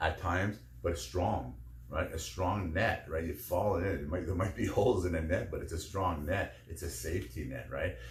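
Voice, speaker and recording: A man talks at a moderate pace in a very deep, low voice with vocal fry. His intonation is lively. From Canadian prairies. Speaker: podcaster. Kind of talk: podcast monologue. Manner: halting, filler-heavy.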